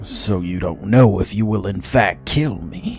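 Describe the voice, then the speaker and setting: A man's put-on character voice, fairly low and growling, at a fairly slow pace over clear music in the background. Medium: read story. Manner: skeptical, stoic.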